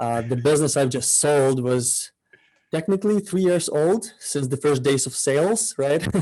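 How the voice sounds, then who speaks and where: This man's voice has a dark, mellow tone, lively intonation and a fairly high pitch. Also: moderate pace. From Ukraine. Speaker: e-commerce entrepreneur. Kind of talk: interview chat.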